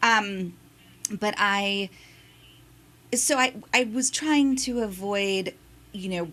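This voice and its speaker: In a bright, sharp tone, a woman speaks at a very slow pace with long, frequent pauses and ordinary pitch variation. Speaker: audiobook narrator. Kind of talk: interview.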